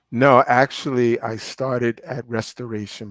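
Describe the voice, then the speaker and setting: A man's medium-pitched voice in a New York accent, fairly slow and fairly even, with a dry, close sound and no echo. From Brooklyn, New York. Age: 60s. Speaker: pastor and real estate finance executive. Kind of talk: interview.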